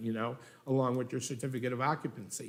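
The room echo is audible. Within it, a man talks at a fairly high pitch. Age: 60s. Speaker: business owner applicant. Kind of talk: public meeting testimony. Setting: city hall meeting room. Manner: halting, many fillers.

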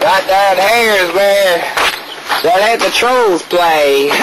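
The speech moves at a very slow pace. Noticeable background noise runs underneath it. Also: man. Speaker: amateur video host. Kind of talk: joking mock tour-guide banter. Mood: playful, goofing around. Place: street. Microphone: old recording.

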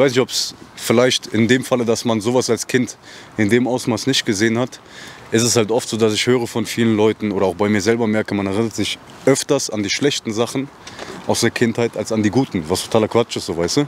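An ordinary speaking voice: a man at a medium pitch talks at a fairly quick pace with fairly even intonation. The sound is dry with no echo, over light background noise. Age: 20s. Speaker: interviewer. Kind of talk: casual interview. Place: street. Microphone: handheld.

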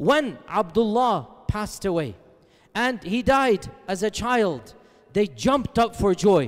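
A man speaks at a fairly slow pace, and the background is quiet. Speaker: religious lecturer. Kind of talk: lecture. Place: hall. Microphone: headset.

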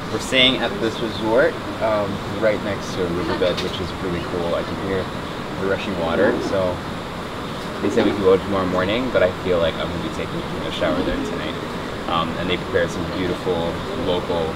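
Loud background noise sits behind a man talking at a fairly quick pace with ordinary pitch variation. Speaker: travel food host. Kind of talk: casual vlog chat. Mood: relaxed, enthusiastic about food.

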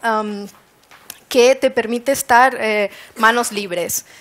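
This woman has a high voice with ordinary pitch variation. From Canary Islands, Spain. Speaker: wearable technology designer; conference speaker. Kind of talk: presentation talk. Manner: hesitant with fillers. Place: hall.

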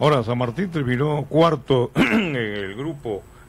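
The voice swings very widely in pitch and has vocal fry. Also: man. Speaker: sports radio host. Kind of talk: sports talk radio discussion.

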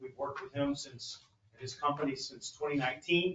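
Light background noise and audible room echo surround a man talking at a moderate pace. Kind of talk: staff report to council. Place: hall.

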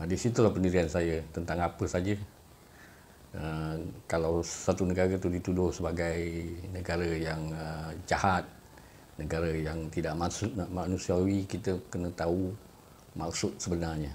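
A man with a very deep, low pitch speaks at a fairly slow pace in a monotone, flat way over light background noise. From Malaysia. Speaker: YouTuber. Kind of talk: monologue commentary. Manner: hesitant, frequent uh fillers. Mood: calm, reflective. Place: home room. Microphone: phone near.

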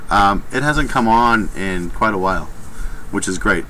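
Light background noise runs under a man's voice. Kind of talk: casual vlog chat. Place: workshop. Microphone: webcam.

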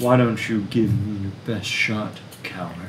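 Doing a put-on character voice, a man talks at a fairly low pitch and a moderate pace over clear background noise.

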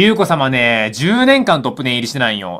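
A man at a moderate pace with very wide pitch swings, over a quiet background. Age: 20s. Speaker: gaming YouTuber. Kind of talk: live reaction commentary. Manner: animated. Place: home room. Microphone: phone near.

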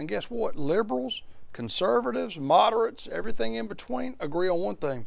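A man talks at a very fast pace. He has an American accent. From Alabama. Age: 40s. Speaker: state senator. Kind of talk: interview. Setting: studio. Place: studio. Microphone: lapel.

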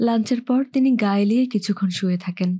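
Her tone dark and mellow and somewhat breathy, a woman speaks at a fairly high pitch over a quiet background. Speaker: audiobook narrator. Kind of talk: novel reading.

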